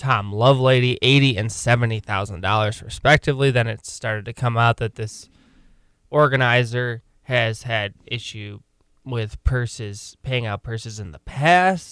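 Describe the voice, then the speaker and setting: Big swings in loudness mark a man's medium-pitched voice, moving at a moderate pace with ordinary pitch variation. The recording is very clean, with a silent background. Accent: American. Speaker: podcast and radio host. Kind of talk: casual sports chat.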